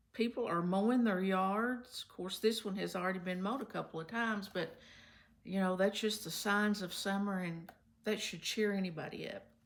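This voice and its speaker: At a moderate pace, a woman with a Kentucky accent speaks at a medium pitch with fairly even intonation. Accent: Southern US (Kentucky). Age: 70s. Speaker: retired substitute teacher. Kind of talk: casual talk to camera.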